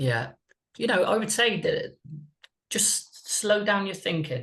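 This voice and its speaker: At a very slow pace, a man with a high pitch talks with a slight West Country accent. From West Country, England. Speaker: mindset and performance coach. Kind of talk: podcast interview. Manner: deliberately slow.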